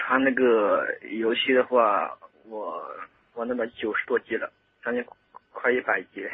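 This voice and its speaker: Long, frequent pauses break up a man's speech. He moves at a fairly slow pace. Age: 20s. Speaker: salesperson sharing experience of game addiction. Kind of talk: radio interview.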